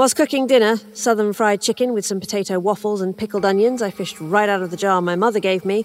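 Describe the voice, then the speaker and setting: Talking at a very fast pace, a woman with a British accent keeps a medium pitch and fairly even intonation. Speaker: story narrator. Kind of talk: horror fiction reading. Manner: hushed, tense first-person narration.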